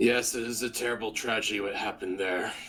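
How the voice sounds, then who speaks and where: A man in a put-on character voice rattles off words at a very fast pace, raspy and monotone with flat intonation at a medium pitch, over clear background noise. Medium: actual play. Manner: formal, solemn.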